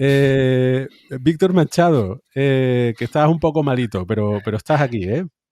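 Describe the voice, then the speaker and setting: A man's medium-pitched voice with a dark, mellow tone, ordinary pitch variation and a fairly slow pace, in a dry, close sound with no echo. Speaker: science podcast host. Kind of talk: casual chat.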